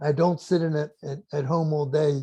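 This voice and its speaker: Fairly high in pitch, this man's voice has a dark, mellow tone and is somewhat breathy. His intonation stays fairly even, and the sound is dry and close, with no echo. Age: 80s+. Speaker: inventor and business mentor. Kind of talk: interview.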